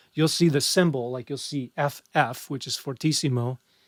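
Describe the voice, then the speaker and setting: Fairly even intonation and a moderate pace mark a normal speaking voice. Background silence surrounds a very clean recording. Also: man. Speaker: music instructor. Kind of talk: exam review lecture. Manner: casual.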